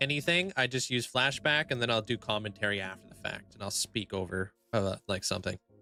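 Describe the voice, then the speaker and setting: Music plays in the background as a man with lively intonation speaks at a fairly quick pace in a dry, close sound with no echo. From Canada. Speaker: Minecraft live streamer. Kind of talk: casual live-stream chat. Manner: loud, often yelling; filler-heavy with restarts.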